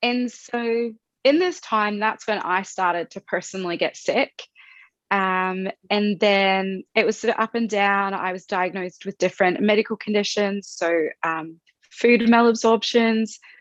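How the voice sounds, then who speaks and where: A woman with an Australian accent, medium pitch and ordinary pitch variation, at a fairly slow pace, in a dry, close sound with no echo over a quiet background. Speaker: health content creator. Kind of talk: interview testimony.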